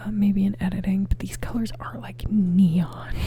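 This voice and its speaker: This soft-spoken voice comes through with noticeable background noise behind it. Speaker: ASMR creator. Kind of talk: ASMR rambling talk to camera. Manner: soft-spoken, rambling.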